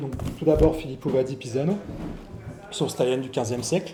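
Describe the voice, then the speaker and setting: Mumbling from a man, with audible room echo and music in the background. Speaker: historical fencing instructor. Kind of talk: lecture. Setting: venue with live audience. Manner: fast.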